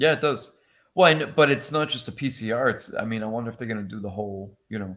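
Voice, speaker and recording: At a very fast pace, a man with a Boston accent speaks at medium pitch with ordinary pitch variation and big swings in loudness, on a very clean recording with a silent background. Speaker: panelist on collectors show. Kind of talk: casual chat.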